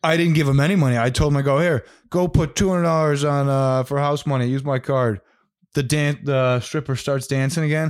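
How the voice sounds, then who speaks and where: Fairly high-pitched male speech at a fairly quick pace, its loudness very even, on a very clean recording with a silent background. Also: fairly even intonation. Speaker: podcast co-host. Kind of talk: casual chat. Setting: studio.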